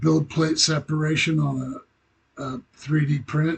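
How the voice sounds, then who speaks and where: A man's somewhat breathy voice moves very slowly, its pitch varying in an ordinary way. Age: 60s. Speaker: hobbyist model builder. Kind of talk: casual vlog update. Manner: halting, many fillers.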